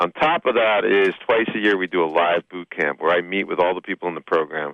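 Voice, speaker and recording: With a New Jersey accent, a man speaks at a very deep, low pitch. His pitch variation is ordinary. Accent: New Jersey twang. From Hoboken, New Jersey, US. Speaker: business coach and speaker. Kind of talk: radio interview. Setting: radio studio.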